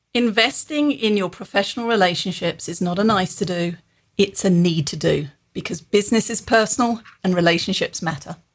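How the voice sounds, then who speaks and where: A woman speaks at a fairly quick pace in a medium pitch with ordinary pitch variation. Her voice is somewhat breathy. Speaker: business author and executive development founder. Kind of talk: casual interview chat.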